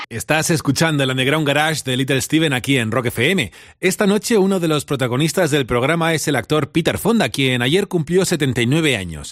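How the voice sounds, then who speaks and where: The delivery is very fast, with hardly any pauses, lively intonation and a warm, upbeat tone. The recording is very clean, with a silent background. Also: man, fairly high pitch for a man. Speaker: radio host. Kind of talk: radio DJ patter, warm late-night Spanish-language show presenting with music intros. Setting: radio studio. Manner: warm, chatty, upbeat and familiar, with easy laughs.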